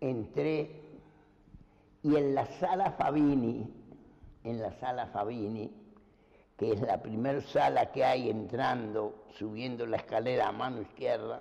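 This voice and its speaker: Speaking at a very slow pace with long, frequent pauses, a man with a medium pitch and a dark, mellow tone shows vocal fry and ordinary pitch variation. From Uruguay, Montevideo. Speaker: painter. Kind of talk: life story interview.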